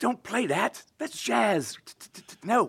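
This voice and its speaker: A man does a put-on character voice at a high pitch. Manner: indignant, shouting.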